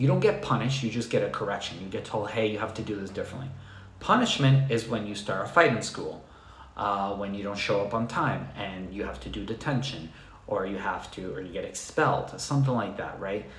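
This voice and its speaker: Soft-spoken and fairly low-pitched, a man talks at a fairly quick pace with lively intonation. There is audible room echo. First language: not English. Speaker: dog trainer. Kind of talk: live stream Q&A talk. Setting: live stream on computer.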